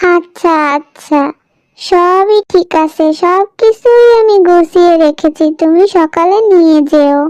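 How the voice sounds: Using a cartoonish character voice, a woman speaks at a very slow pace with an extremely high pitch.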